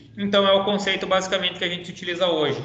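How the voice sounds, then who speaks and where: There is audible room echo around this man. His pitch is high. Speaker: teacher. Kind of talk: online lecture.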